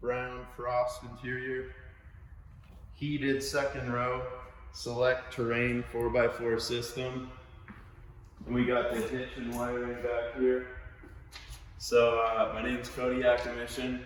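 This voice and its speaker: Over music in the background, a man of medium pitch speaks at a very slow pace with long, frequent pauses. His intonation is monotone and flat, and audible room echo fills the recording. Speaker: car salesman. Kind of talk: sales pitch.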